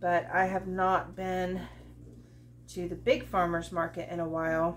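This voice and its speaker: A woman speaks fairly slowly, with light background noise present. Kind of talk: cooking tutorial chat. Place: kitchen. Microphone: camera far.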